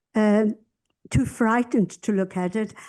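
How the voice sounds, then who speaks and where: With a quiet background, a woman talks at a moderate pace in a fairly high voice with a dark, mellow tone. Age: 80s+. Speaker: audience member asking a question. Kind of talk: audience question.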